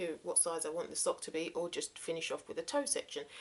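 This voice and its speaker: This woman speaks with a southern English accent. Her pitch sits in the medium range. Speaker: crafting vlogger. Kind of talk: casual show-and-tell vlog. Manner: hesitant, many fillers.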